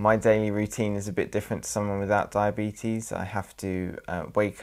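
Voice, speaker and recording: A man with an English accent and a fairly low pitch. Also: very clean recording, silent background. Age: 20s. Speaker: person with diabetes. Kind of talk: testimony.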